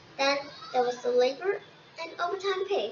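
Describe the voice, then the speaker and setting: A woman does a put-on character voice at a high pitch with very wide pitch swings, talking at a moderate pace over clear background noise. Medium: read story. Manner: indignant, officious.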